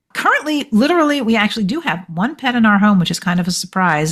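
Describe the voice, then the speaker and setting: Somewhat breathy, a woman talks at a fairly quick pace with very wide pitch swings. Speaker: author and journalist. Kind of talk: interview.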